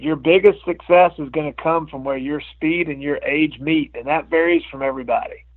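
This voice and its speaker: At a moderate pace, a man with an unremarkable speaking voice and fairly high pitch keeps his intonation fairly even while his loudness swings widely. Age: 50s. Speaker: amateur motocross racer. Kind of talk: casual chat.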